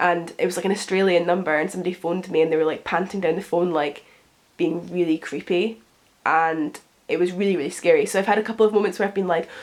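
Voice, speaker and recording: A very fast woman with a British accent, fairly low in pitch, with fairly even intonation. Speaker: lifestyle youtuber. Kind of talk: casual Q&A vlog.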